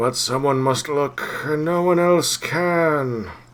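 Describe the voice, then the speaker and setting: A man's put-on character voice, fairly high in pitch and delivered at a fairly slow pace. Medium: game stream. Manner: cryptic, halting, fragmentary.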